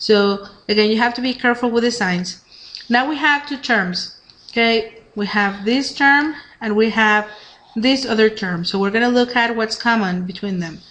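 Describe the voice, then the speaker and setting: There is audible room echo and noticeable background noise as a woman speaks in a fairly high voice with ordinary pitch variation. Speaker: math teacher. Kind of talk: lecture. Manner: fast.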